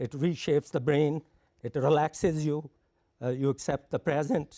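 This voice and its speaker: In a very clean recording with a silent background and a dry, close sound with no echo, a man speaks at a moderate pace, fairly high in pitch, with a dark, mellow tone and fairly even intonation. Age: 80s+. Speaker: conference presenter on yoga and meditation. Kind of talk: conference presentation. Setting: satellite teleconference.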